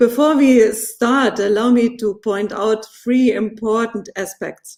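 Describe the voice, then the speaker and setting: In a non-native accent, a woman speaks at a very slow pace. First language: German. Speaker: politician. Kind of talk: formal speech. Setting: webinar. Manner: formal.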